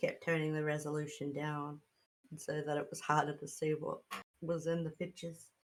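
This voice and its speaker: The woman's pitch is very deep and low, and her intonation is monotone and flat. She talks at a fairly quick pace. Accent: Australian. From Australia. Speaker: streamer playing tabletop role-playing game. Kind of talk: casual chat.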